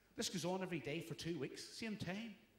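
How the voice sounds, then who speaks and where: Over noticeable background noise, a man with a Belfast accent talks at a fairly quick pace. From Northern Ireland, Belfast. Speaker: stand-up comedian. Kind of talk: stand-up.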